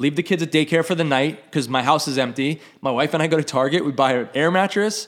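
On a very clean recording with a silent background, a man with an American accent talks at a fairly quick pace in a normal speaking voice, fairly high in pitch with ordinary pitch variation. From New York. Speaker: rock drummer. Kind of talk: casual chat. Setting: host's house.

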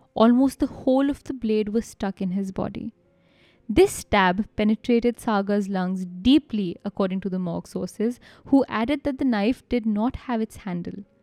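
With music in the background, a woman with a fairly high pitch talks at a moderate pace with ordinary pitch variation, the sound dry and close with no echo. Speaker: podcast host. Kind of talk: true-crime narration. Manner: grave, measured storytelling delivery.

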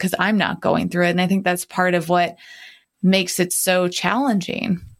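A woman talks in a normal speaking voice, fairly low in pitch with fairly even intonation. The recording is very clean with a silent background. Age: young. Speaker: podcast co-host. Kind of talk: casual chat.

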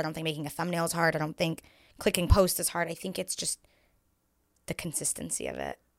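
Talking at a very fast pace, a woman speaks in an American accent. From Los Angeles, San Fernando Valley. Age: 20s. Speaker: content creator. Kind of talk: casual chat.

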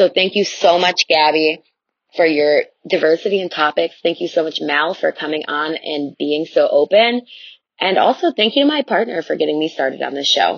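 A woman with an American accent speaks in an unremarkable speaking voice. Her pitch is fairly low and her pace moderate. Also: lively intonation. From Chicago area. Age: 20s. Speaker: listener leaving voicemail. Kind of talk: voicemail testimony. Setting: recorded voice memo.

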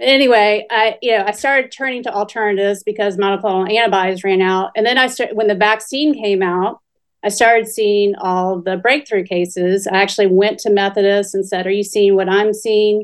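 A woman's medium-pitched voice, an ordinary speaking voice with hardly any pauses and fairly even intonation, against a quiet background. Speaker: physician. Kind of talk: interview.

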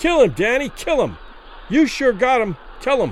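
A man puts on a character voice pitched extremely high for a man, swinging very widely in pitch at a moderate pace over faint background noise.

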